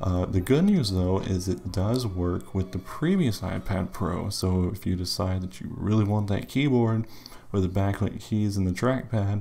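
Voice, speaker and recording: The man talks quietly at a fairly low pitch. His pitch varies in an ordinary way. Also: moderate pace. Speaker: tech youtuber. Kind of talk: casual tech review.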